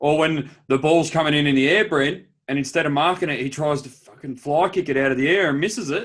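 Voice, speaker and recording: A man with an Australian accent talks at a fairly quick pace with hardly any pauses. His pitch is fairly high, with ordinary pitch variation. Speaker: podcast co-host. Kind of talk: casual chat.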